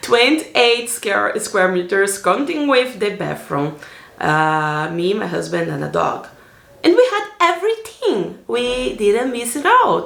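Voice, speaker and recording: A woman talks at a very slow pace. Room echo is audible. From Brazil, Salvador, Bahia. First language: Portuguese. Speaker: vlogger. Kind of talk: personal vlog narration. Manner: casual, with fillers.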